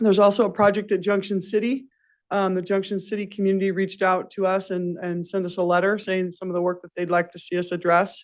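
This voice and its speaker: The speech moves at a very fast pace. The background is quiet. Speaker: forest service official. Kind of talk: public meeting report.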